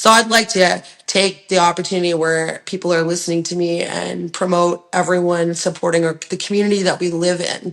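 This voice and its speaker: A woman with a Canadian accent at a fairly quick pace, fairly low in pitch, monotone and flat in intonation, with hardly any pauses and noticeable background noise. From Ontario, Canada. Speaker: rock singer and songwriter. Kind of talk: interview answer.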